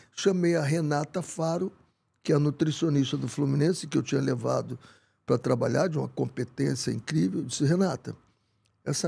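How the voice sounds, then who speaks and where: A man speaks in a fairly high pitch with a dark, mellow tone. His voice is somewhat breathy, with ordinary pitch variation. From Brazil, Rio de Janeiro. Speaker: football coach. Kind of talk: interview conversation. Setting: studio. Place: studio. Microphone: studio mic.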